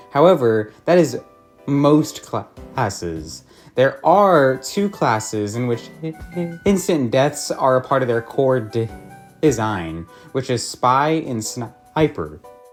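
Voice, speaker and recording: Very slow speech with music in the background. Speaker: gaming video essayist. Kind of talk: video essay narration.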